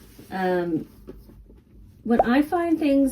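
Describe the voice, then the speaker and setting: A woman speaks with an American accent. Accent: mild Texas accent, stronger lately. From grew up moving around as Army brat, Texas family. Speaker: online reseller. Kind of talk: casual vlog chat.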